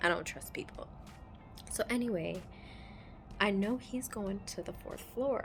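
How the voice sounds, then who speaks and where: Her pace is fairly slow, with long, frequent pauses. The woman is soft-spoken. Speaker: travel vlogger. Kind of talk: casual vlog storytelling. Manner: quiet, talking softly; animated.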